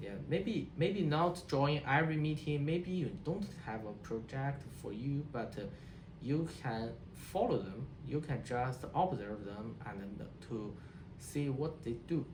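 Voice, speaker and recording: Speaking at a very slow pace with a Chinese accent, a man with a fairly high voice uses lively intonation amid noticeable background noise and audible room echo. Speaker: HCI researcher. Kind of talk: interview. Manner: halting, many repetitions and restarts.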